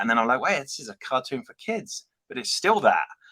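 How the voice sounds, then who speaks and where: A man's very fast, fairly high-pitched delivery in a British accent, bright and sharp in tone, with very wide pitch swings and a dry, close sound with no echo. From UK. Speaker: toy and prop replica company representative. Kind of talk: casual interview.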